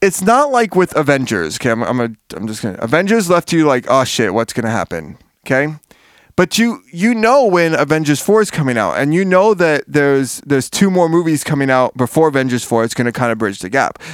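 A man with an American accent talks at a fairly quick pace and a fairly high pitch, with very wide pitch swings. The recording is very clean with a silent background. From US, Miami. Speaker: podcast host. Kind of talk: casual chat. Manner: animated.

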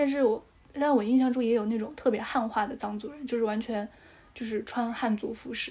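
A woman speaks at a fairly quick pace in a fairly high pitch, her tone dark and mellow and her intonation fairly even. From Sichuan (Dujiangyan, Chengdu Plain). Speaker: podcast guest. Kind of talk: casual chat.

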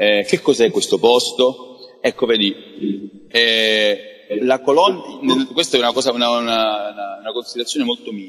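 A man with a medium pitch and ordinary pitch variation talks at a fairly slow pace, leaving long, frequent pauses. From Crotone, Calabria, Italy. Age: 40s. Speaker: international tourism expert. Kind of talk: interview. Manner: halting, with frequent repetitions.

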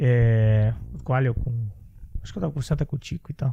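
A somewhat breathy man's voice with lively intonation. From Santa Catarina, Brazil. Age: 30s. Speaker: podcast host. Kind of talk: casual interview.

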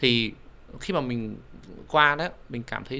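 Speaking with a non-native accent, a man uses a medium pitch, a bright, sharp tone and ordinary pitch variation at a fairly slow pace. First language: not Vietnamese (speaking Vietnamese). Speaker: immigration advisor. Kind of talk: casual interview.

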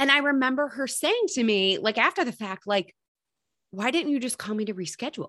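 With an American accent, a woman talks at a fairly quick pace in a bright, sharp tone, her high pitch making very wide swings. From Michigan. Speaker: health coach. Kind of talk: casual chat.

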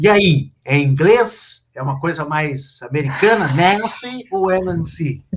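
Very slow, fairly high-pitched male speech with lively intonation and hardly any pauses. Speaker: live show host and editor. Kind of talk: moderated live panel discussion. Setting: live online stream.

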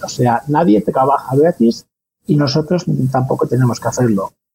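Dark, mellow tone in a somewhat breathy male voice. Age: 40s. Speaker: freelance copywriter and blogger. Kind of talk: interview.

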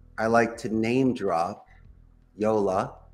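A man with an American accent delivers his words at a medium pitch. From US Northeast, Philadelphia. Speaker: call center CEO. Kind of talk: casual interview.

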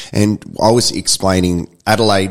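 A man talks with an Australian accent. His pitch is very deep and low, with ordinary pitch variation. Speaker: podcast host. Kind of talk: casual interview.

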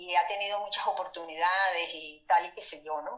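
A woman talks at a fairly slow pace in a bright, sharp tone. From Venezuela, Maracaibo. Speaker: podcast co-host. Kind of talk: casual interview. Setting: remote call from hotel room.

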